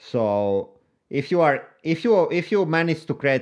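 The background is quiet. A man speaks with a Finnish accent. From Finland. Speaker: YouTuber and entrepreneur. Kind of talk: interview.

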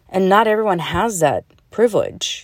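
The recording is very clean with a silent background, capturing a woman with an American accent and a dark, mellow tone. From Russia, adopted as a child to the US. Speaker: podcaster and author. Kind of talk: solo monologue. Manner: halting, many fillers.

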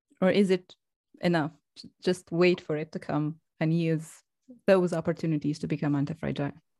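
Speaking fairly quickly with a non-native accent, a woman uses a dark, mellow tone at a fairly low pitch, her intonation monotone and flat while her loudness swings widely. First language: not English. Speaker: podcast host. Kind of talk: interview.

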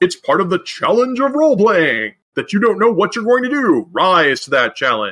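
Putting on a character voice, a man speaks in a high pitch at a moderate pace, with very wide pitch swings and hardly any pauses. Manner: mocking, sarcastic.

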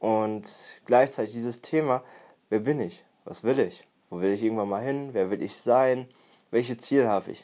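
A man's unremarkable speaking voice at medium pitch and a moderate pace, with ordinary pitch variation, in a very clean recording against a silent background. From Germany, Münsterland (Warendorf). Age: 20s. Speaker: personal development podcaster. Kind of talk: solo podcast monologue.

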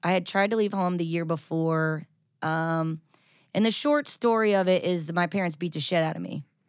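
Heard in a very clean recording with a silent background, a woman uses a normal speaking voice at a fairly low pitch, a moderate pace, and ordinary pitch variation. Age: 30s. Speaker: country singer. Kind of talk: casual chat.

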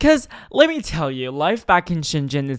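A man talks in an animated tone at a fairly high pitch. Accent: Chinese. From China. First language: Chinese. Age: 19. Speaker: podcast host. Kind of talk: casual monologue. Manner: halting, many fillers and stutters.

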